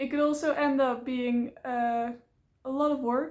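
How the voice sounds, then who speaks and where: Speaking with a Dutch accent, a woman talks at a fairly slow pace in a high pitch, with fairly even intonation. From Netherlands. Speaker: vlogger. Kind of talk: casual vlog talk to camera. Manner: hesitant, many fillers.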